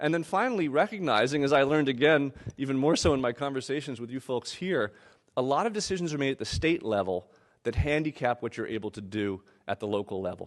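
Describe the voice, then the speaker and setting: Against a quiet background, a man with a fairly high pitch talks very fast with lively intonation. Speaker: urban planner and author giving a keynote. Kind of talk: keynote lecture.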